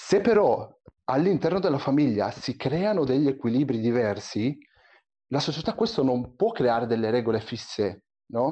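At a moderate pace, a man speaks at medium pitch while his voice makes very wide pitch swings. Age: 20s. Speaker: software developer. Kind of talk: casual discussion.

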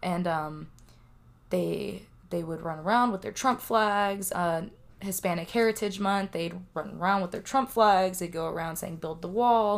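In a very clean recording with a silent background, a woman with an American accent and a plain, everyday voice speaks at a fairly slow pace in a medium pitch, with ordinary pitch variation. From California, Central Valley. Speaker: interviewee. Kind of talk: interview.

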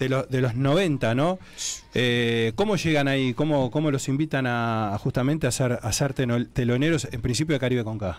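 A man talks at a moderate pace with medium pitch and ordinary pitch variation. His is an unremarkable speaking voice. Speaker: radio host. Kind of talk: radio interview.

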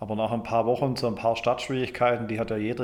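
Over noticeable background noise, a man speaks fairly quickly in a flat monotone. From Germany. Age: 40s. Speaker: engineer in the timber construction industry. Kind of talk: interview. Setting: studio. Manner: hesitant with fillers.

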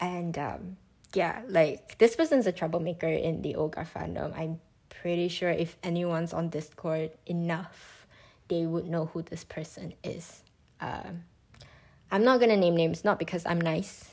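A woman speaks at a fairly slow pace in a fairly low pitch. Her tone is animated. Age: 20s. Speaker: podcast host. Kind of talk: casual solo monologue. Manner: animated, laughing often.

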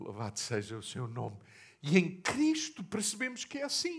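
Speech in a European Portuguese accent at a fairly slow pace. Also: man. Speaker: pastor. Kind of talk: sermon.

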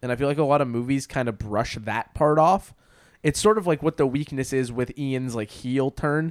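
In a very clean recording with a silent background and a dry, close sound with no echo, a man with a fairly high pitch speaks at a moderate pace in an ordinary speaking voice. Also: ordinary pitch variation. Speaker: podcast host. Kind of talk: casual chat. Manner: joking, sarcastic.

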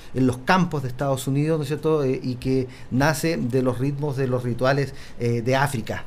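Audible room echo carries a man's voice of medium pitch. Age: 40s. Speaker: music workshop coordinator. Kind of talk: radio interview.

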